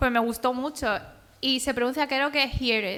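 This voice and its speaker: Raising and projecting her voice, a woman talks at a fairly quick pace. Her tone is bright and sharp, her pitch high. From Andalusia, Spain. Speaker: author and cartoonist. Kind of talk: public talk.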